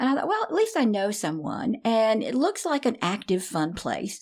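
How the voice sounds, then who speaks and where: A woman with a Southern US accent and vocal fry, at a moderate pace. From US South, Nashville, Tennessee. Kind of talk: interview.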